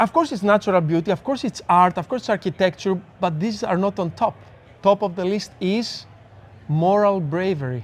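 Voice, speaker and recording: Speaking at a moderate pace, a man with a Greek accent uses a high pitch. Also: ordinary pitch variation. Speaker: neuroscience speaker and researcher. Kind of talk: casual interview chat. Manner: halting, frequent stammers and restarts.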